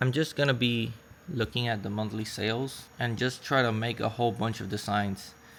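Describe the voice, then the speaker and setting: Intonation holds fairly even throughout. A non-native accent marks the speech. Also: man. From Puerto Rico. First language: Spanish. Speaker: online seller vlogger. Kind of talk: vlog tutorial.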